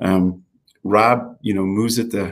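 A plain, everyday voice: a man with an American accent, fairly low pitch and fairly even intonation. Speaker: innovation center director. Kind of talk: panel discussion.

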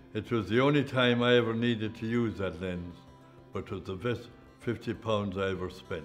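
A man with an Irish accent talks at a moderate pace with ordinary pitch variation while faint music plays in the background. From Ireland. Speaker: press photographer. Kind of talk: interview recollection. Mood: relaxed, wry recollection. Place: home room.

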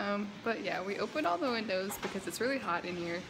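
A woman talks fairly quickly, her pitch varying in an ordinary way, while noticeable background noise fills the recording. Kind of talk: casual vlog chat. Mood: cheerful, playful. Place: kitchen. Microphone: phone near.

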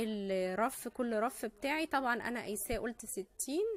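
At a fairly slow pace, a woman talks with ordinary pitch variation in a dry sound with no echo. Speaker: craft channel host. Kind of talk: tutorial. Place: home room. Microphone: phone near.

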